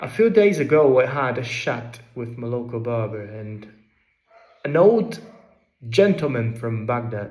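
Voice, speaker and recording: In a Derbyshire accent, a medium-pitched man speaks at a fairly slow pace with long, frequent pauses and lively intonation, with audible room echo around him. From England, Derbyshire. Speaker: vlogger. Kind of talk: personal essay narration.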